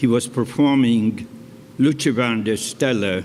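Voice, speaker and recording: A man talks at a fairly slow pace with ordinary pitch variation, and room echo is audible. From Poland (Warsaw). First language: Polish. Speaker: Holocaust survivor and cantor. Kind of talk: testimony. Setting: stage with audience.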